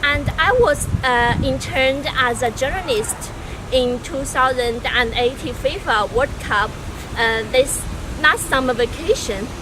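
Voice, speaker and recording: A woman speaks in a Chinese accent at a high pitch with ordinary pitch variation. Her pace is fairly slow, and there is noticeable background noise. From China. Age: 20s. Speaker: university student applicant. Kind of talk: video application self-introduction. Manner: halting, with fillers.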